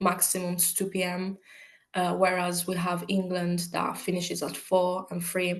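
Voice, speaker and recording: Her accent is Italian and her pitch is medium. The woman speaks at a fairly slow pace in a monotone, flat way. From Italy. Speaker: university student. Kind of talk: interview. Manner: hesitant, many fillers.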